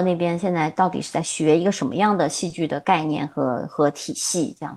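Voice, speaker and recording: A woman at a medium pitch and moderate pace against a quiet background. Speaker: theatre director and drama teacher. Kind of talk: interview. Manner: halting.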